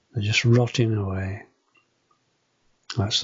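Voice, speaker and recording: Speaking with a Yorkshire accent, a man delivers his words in a monotone, flat intonation at a fairly low pitch. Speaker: home renovation vlogger. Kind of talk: casual video walkthrough. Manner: halting, hesitant.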